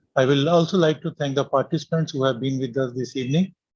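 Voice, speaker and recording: Somewhat breathy and medium in pitch, a man speaks at a fairly quick pace with fairly even intonation. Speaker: academy official, medical professor. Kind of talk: vote of thanks. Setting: video call. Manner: formal.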